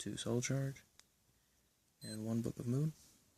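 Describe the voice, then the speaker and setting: A quiet man in a dry, close sound with no echo. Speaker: card game deck reviewer. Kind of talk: deck profile tutorial. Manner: monotone.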